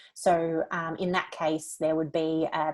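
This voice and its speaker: A woman with an Australian accent, fairly low in pitch, with monotone, flat intonation over a quiet background. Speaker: lawyer. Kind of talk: webinar presentation. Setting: online webinar.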